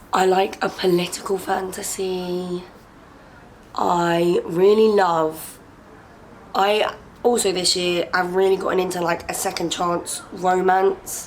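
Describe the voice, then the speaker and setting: Over noticeable background noise, a woman with an English accent speaks very slowly in a medium pitch with monotone, flat intonation. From England. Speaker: booktuber. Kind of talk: casual Q&A vlog.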